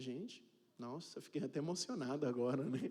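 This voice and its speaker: A fairly high, dark and mellow male voice at a moderate pace, with ordinary pitch variation. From Cape Verde. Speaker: pastor. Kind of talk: sermon. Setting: church. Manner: casual, joking.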